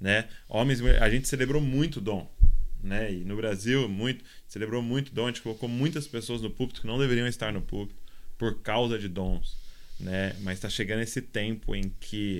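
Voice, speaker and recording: This man has an unremarkable speaking voice with a medium pitch and ordinary pitch variation. He talks at a moderate pace. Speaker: podcast host. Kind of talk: podcast interview. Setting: recording away in Kansas City.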